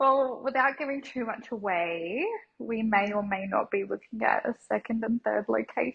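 With an Australian accent, a woman speaks at a moderate pace and a fairly high pitch. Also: ordinary pitch variation. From Brisbane, Australia (Logan area). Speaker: tanning salon owner. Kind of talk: interview, casual chat.

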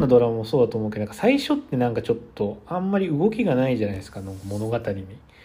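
A man speaks in a relaxed, dark, mellow tone that is somewhat breathy. His medium pitch moves in very wide pitch swings. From Japan. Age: 30s. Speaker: podcaster. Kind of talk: casual solo monologue. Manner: relaxed, filler-heavy.

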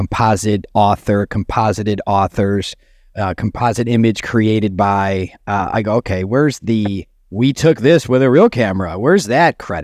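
In a very clean recording with a silent background and a dry, close sound with no echo, a man with an unremarkable speaking voice talks at a fairly low pitch and a moderate pace, with ordinary pitch variation. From US Midwest, Chicago. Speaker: documentary filmmaker. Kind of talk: casual chat.

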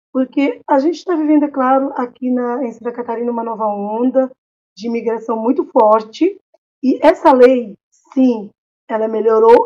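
Her pitch high and its variation ordinary, a woman speaks at a fairly slow pace. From Cape Verde. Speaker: lawyer. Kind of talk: panel discussion.

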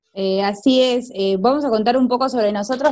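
A normal speaking voice moves at a moderate pace with lively intonation. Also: woman. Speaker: podcast host, teacher. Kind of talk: casual chat.

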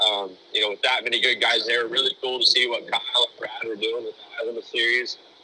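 A man's fairly quick speech with hardly any pauses, against noticeable background noise. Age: 20s. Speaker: sprint car crew chief. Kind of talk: casual interview.

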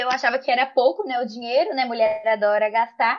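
A woman talking at a fairly quick pace. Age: 20s. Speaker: confectioner and small business owner. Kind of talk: casual chat.

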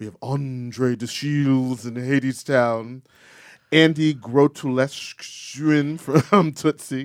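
A man's voice has a dry, close sound with no echo in a very clean recording with a silent background. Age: 70s. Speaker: theater podcast host. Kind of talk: casual chat. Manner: animated.

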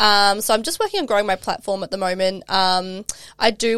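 A woman with an Australian accent, medium pitch and monotone, flat intonation, on a very clean recording with a silent background and dry, close sound with no echo. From South Australia. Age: 20s. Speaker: life and mindset coach. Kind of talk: casual interview chat.

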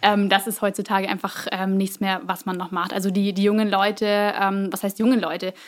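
A woman's medium-pitched voice, fairly quick and in a monotone, flat intonation, in a very clean recording with a silent background. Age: 20s. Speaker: employer branding specialist. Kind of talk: interview.

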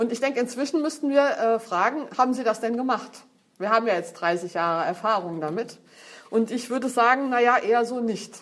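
An unremarkable speaking voice, fairly quick in pace, with lively intonation. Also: woman, fairly high pitch for a woman. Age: 50s. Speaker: feminist speaker. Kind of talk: lecture.

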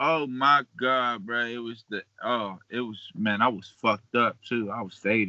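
With an American accent, a man has an unremarkable speaking voice, medium pitch and fairly even intonation at a moderate pace. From western Pennsylvania, Beaver Falls / Pittsburgh. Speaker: hip-hop artist. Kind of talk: casual chat.

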